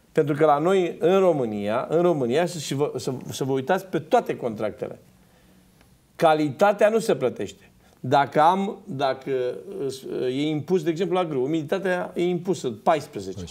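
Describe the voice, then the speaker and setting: A man with a fairly high voice talks at a moderate pace, his intonation lively. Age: 50s. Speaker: farmer and former MP; talk show guest. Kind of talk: TV panel discussion. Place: studio. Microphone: lapel.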